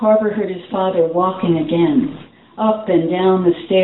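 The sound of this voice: The voice is an unforced reading voice, and its intonation stays fairly even.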